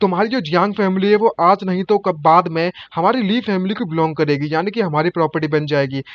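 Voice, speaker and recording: A man talks at a moderate pace and a high pitch, with ordinary pitch variation. He leaves hardly any pauses. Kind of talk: casual anime recap narration in Hindi.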